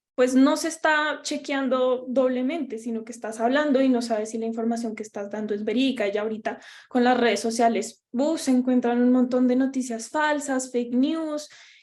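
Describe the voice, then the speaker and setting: High-pitched female speech in a strong Bogotá accent, with hardly any pauses and fairly even intonation. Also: moderate pace. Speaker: workshop presenter on podcasting. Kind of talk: workshop lecture.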